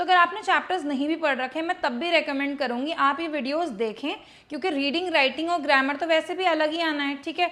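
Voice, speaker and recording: A woman speaks with a high pitch and a bright, sharp tone. Her moderate pace has hardly any pauses, and her pitch varies in an ordinary way. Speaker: English teacher. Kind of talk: tutorial. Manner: Hindi-English code-mixing.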